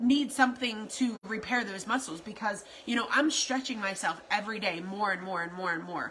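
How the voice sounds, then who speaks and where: Faint noise sits behind a woman whose intonation is lively. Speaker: keto lifestyle vlogger. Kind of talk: casual vlog chat. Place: home room. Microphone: phone near.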